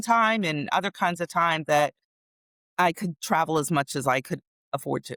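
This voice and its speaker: Recorded very cleanly against a silent background, with a dry, close sound and no echo, a woman uses an ordinary speaking voice, fairly low in pitch, with lively intonation. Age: 60s. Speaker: productivity coach. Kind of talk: interview. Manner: conversational.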